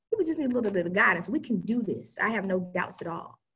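A woman with an American accent at a very fast pace, with vocal fry and very wide pitch swings. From US South, Charlotte, North Carolina. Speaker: life coach. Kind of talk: interview.

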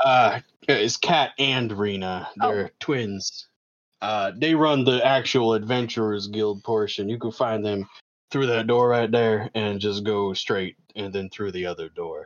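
A man puts on a gruff character voice at a medium pitch. He talks at a fairly slow pace. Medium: actual play. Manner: casual, friendly, unhurried.

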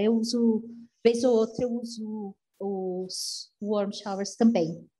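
The voice moves at a very slow pace. It sounds somewhat breathy. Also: woman. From Brazil, São Paulo. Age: 40s. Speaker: long-distance solo cyclist traveler. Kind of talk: interview conversation.

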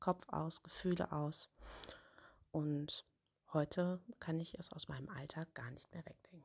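On a very clean recording with a silent background and a dry, close sound without echo, a woman with a very deep, low pitch and a somewhat breathy voice talks at a very slow pace, her intonation fairly even, her loudness swinging widely, and her pauses long and frequent. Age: 30s. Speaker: author. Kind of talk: interview answers.

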